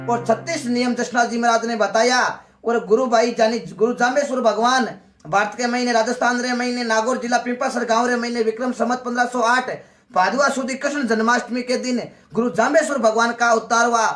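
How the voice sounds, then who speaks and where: Noticeable background noise surrounds a man speaking with a Marwari accent. His pitch is extremely high and his intonation monotone and flat. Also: moderate pace. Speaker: devotional folk singer. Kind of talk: religious folk storytelling.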